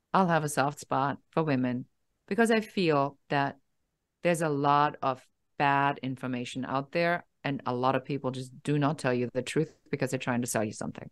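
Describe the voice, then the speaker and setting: A woman's very deep, low voice at a moderate pace, with ordinary pitch variation and a quiet background. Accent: German. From Germany. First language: German. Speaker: business coach. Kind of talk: interview. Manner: direct, no-nonsense.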